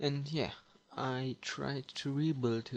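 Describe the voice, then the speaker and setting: Speaking very slowly with a non-native accent, a man keeps a medium pitch and fairly even intonation. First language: German. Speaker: 3D modeler, channel owner. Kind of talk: screen-recorded tutorial showcase. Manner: halting, many fillers.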